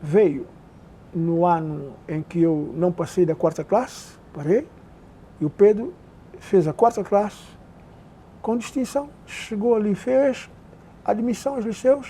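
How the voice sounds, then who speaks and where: A man with a high-pitched, dark and mellow voice speaks very slowly with lively intonation and long, frequent pauses. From Príncipe island, São Tomé and Príncipe. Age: 70s. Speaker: oral history interviewee. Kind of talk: oral history interview. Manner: halting.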